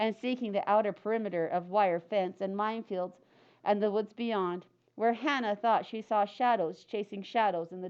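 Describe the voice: This is plain reading aloud. Nothing is added beyond the reading.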